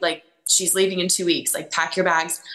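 A woman with an American accent speaks in a fairly low, bright, sharp voice with monotone, flat intonation. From Georgia, US South. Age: 30s. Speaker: sports sideline reporter and host. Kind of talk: casual interview chat.

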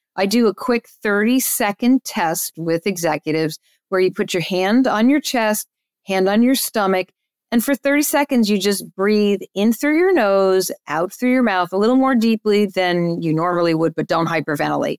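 With an American accent, a woman speaks at a moderate pace in a medium pitch, using an unremarkable speaking voice with lively intonation, very even loudness, and a dry, close sound with no echo. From New Jersey. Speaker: agency owner and speaker. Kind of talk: interview conversation.

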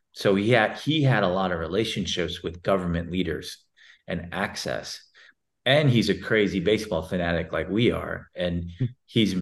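With an American accent, a man speaks at a moderate pace in a very deep, low pitch. His intonation is lively. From Texas. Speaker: sports league CEO. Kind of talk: interview.

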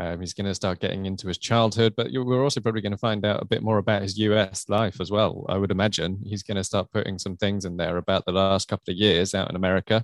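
In a British accent, the speaker races along at a very fast pace with hardly any pauses and fairly even intonation, in a dry, close sound with no echo against a quiet background. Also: man, fairly low pitch for a man. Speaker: royal commentator podcast host. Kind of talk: casual podcast chat.

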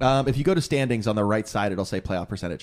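In a very clean recording with a silent background, a man talks at a very fast pace with lively intonation. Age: 30s. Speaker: podcast host. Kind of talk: casual chat. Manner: joking.

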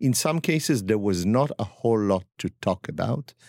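In a very clean recording with a silent background, a man's dark, mellow voice makes very wide pitch swings in a dry, close sound with no echo. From northern Israel. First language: Hebrew. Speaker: chef and spice blender. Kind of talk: casual interview. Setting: studio.

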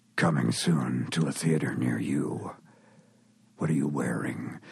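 A man's put-on character voice, raspy and very deep and low in pitch, with fairly even intonation at a fairly slow pace. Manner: suggestive, dramatic.

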